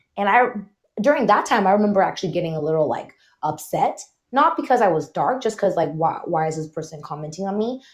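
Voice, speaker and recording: With an American accent, a woman speaks at a medium pitch and a fairly quick pace, her pitch swinging very widely over a quiet background. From California, San Francisco Bay Area. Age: 30s. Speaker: tech professional. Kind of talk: casual chat. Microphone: internet connection trouble.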